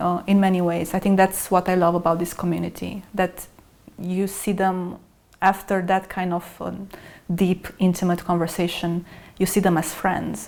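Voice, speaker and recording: Monotone, flat intonation from a woman with a non-native accent. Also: medium pitch for a woman, moderate pace. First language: not English. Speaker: salon host and writer. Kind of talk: podcast interview. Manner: hesitant, with many fillers.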